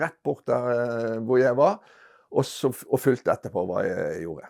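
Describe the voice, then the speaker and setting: A man speaks with vocal fry. He moves at a moderate pace. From Norway, Bergen. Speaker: retired botanist recalling research. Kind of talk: storytelling interview. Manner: halting, many hesitations.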